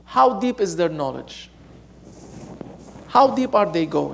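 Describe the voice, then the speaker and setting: With a Lebanese accent, a man speaks in a high voice with very wide pitch swings against noticeable background noise. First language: Arabic. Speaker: Sufi sheikh, religious teacher. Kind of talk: sermon. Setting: mosque gathering, streamed online. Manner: animated; halting.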